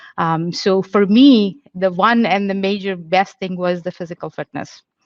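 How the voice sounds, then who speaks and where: At a moderate pace, a woman speaks with an Indian accent. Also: medium pitch for a woman, fairly even intonation. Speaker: police officer. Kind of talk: panel Q&A answer. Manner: halting, many fillers.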